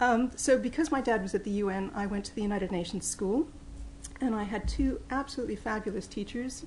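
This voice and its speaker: A woman with a slight Mid-Atlantic accent speaks at a fairly quick pace in a fairly high, somewhat breathy voice, with audible room echo. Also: ordinary pitch variation. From New York, English parents. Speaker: professor. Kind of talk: lecture.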